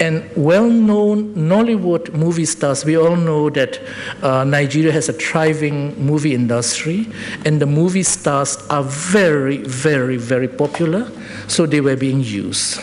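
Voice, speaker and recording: Speaking with a non-native accent, a man with a fairly high pitch uses lively intonation at a fairly slow pace over noticeable background noise. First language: not English. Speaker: public health expert presenter. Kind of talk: presentation at public forum. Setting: public forum with audience. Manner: halting, self-correcting.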